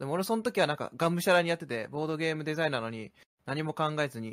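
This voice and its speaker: Against a very clean recording with a silent background and a dry, close sound with no echo, a man talks at a very fast pace with lively intonation and a fairly high pitch. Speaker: podcast co-host. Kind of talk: casual chat.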